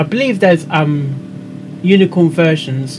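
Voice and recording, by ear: A man speaks at a fairly slow pace. Clear background noise can be heard.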